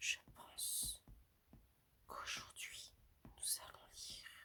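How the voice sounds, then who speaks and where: Whispered words come out at a very slow pace. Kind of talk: casual intro to listeners. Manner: soft, soothing.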